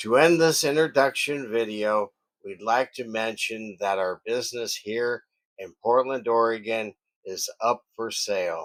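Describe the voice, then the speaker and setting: A man talks in a plain, everyday voice at a medium pitch and a fairly slow pace. His pitch varies in an ordinary way, while his loudness swings widely. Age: 60s. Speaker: woodworking shop owner. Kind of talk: scripted narration.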